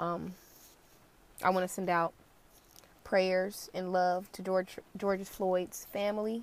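Speaking with an American accent, a woman with a medium-pitched voice goes at a very slow pace in a flat monotone, leaving long, frequent pauses. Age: 20s. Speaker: podcast host. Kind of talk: solo commentary.

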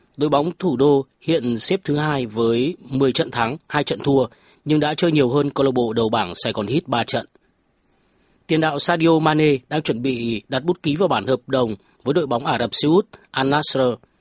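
A man has a plain, everyday voice, fairly high in pitch with ordinary pitch variation and very even loudness. He keeps a moderate pace in a dry, close sound with no echo. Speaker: sports news reporter. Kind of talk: news reading.

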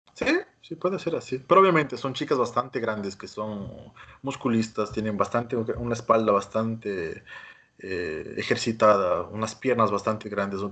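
A man talks at a moderate pace and medium pitch with ordinary pitch variation. His tone is bright and sharp. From Ecuador, Quito. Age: young. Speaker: plastic surgeon. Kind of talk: interview. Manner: halting.

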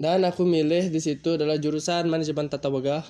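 A man's fairly high voice with a dark, mellow tone. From Bali, Badung. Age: 20s. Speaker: culinary student and podcaster. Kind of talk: casual solo monologue. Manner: halting.

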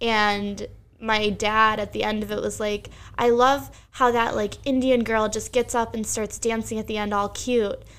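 In an American accent, a woman with a fairly high pitch talks at a moderate pace in a monotone, flat intonation, on a very clean recording with a silent background. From Bucks County, Pennsylvania. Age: 20s. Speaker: teacher and stand-up comedian. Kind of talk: casual chat. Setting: home basement.

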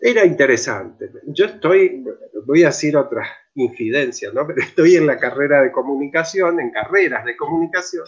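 At a moderate pace, a man talks with a high pitch. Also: lively intonation. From Argentina, Mendoza. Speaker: theatre researcher and director. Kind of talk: interview on live stream.

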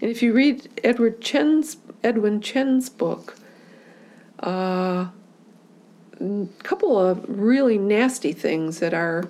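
Delivery is at a very slow pace with long, frequent pauses. The intonation is lively. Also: woman, fairly high pitch for a woman. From Michigan, US Midwest. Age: 70s. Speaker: community activist. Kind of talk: oral history interview. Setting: at home.

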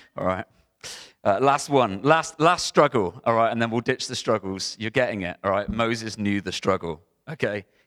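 At a moderate pace and with lively intonation, a man has a plain, everyday voice, captured dry and close with no echo on a very clean recording with a silent background. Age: 30s. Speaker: pastor. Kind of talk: sermon. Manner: casual, conversational.

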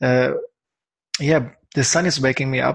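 A man with a German accent talks at a medium pitch. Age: 40s. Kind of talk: casual interview. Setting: apartment. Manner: halting.

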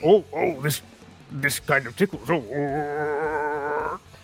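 Low-to-middle pitch in a put-on character voice. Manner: ticklish, amused.

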